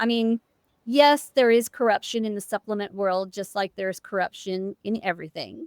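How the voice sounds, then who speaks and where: A woman's fairly high voice comes across animated at a moderate pace. The recording is very clean, with a silent background and a dry, close sound without echo. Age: 60s. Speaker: immunotoxicology researcher. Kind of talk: podcast interview.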